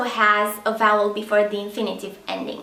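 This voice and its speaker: Speaking at a moderate pace with a Romanian accent, a woman is heard over noticeable background noise and audible room echo. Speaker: language teacher. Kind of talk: tutorial.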